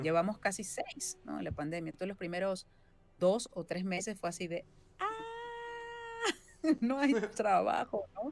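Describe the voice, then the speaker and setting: A woman talks at a fairly slow pace, leaving long, frequent pauses. Her pitch varies in an ordinary way, with faint music in the background. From Venezuela. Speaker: voice actress and singer-songwriter. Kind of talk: interview answer. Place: home room.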